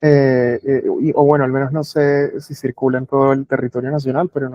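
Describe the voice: Recorded dry and close with no echo, a man speaks at a fairly quick pace in a fairly high pitch with a dark, mellow tone.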